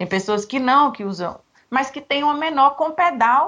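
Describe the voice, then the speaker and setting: A woman uses lively intonation while keeping a moderate pace. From Minas Gerais, Brazil (near Bahia border). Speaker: personal organizer. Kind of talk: interview.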